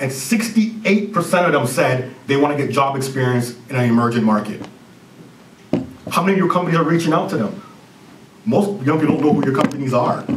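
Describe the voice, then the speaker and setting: A man with a Jamaican accent talks at a fairly quick pace and a fairly high pitch, with lively intonation and long, frequent pauses. Noticeable background noise and audible room echo are present. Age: 30s. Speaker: business consultant and CEO. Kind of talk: conference presentation.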